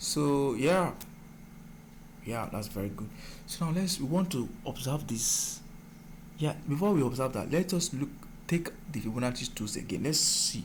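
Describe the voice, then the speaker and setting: The man's voice is fairly high and somewhat breathy, with lively intonation at a moderate pace. Long, frequent pauses break up his speech, and there is audible room echo. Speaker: forex trading mentor. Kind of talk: tutorial.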